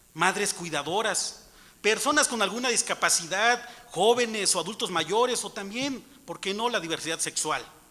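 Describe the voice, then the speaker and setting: A man with a high pitch uses a raised, projected voice at a moderate pace, with ordinary pitch variation. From Mixtec community in Oaxaca, Mexico. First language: Mixtec (speaking Spanish). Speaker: citizen speaker at public hearing. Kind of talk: prepared speech at public hearing. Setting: auditorium hearing. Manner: formal.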